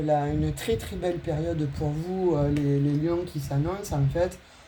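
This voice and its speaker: Very slowly, a woman talks in a very deep, low voice with ordinary pitch variation. Noticeable background noise and audible room echo are present. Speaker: tarot reader. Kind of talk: tarot reading for viewers; channel announcement. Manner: hesitant, many fillers.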